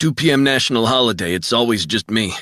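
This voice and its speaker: A man puts on a raspy character voice at a medium pitch. He rattles through the lines at a very fast pace. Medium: read story.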